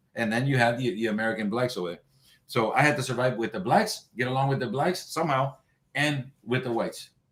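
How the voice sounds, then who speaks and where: The speaker has a New York accent. The pace is very fast. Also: man, medium pitch for a man, ordinary pitch variation. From New York, the Bronx (born in Cuba). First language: Spanish. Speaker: boxing trainer. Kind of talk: interview.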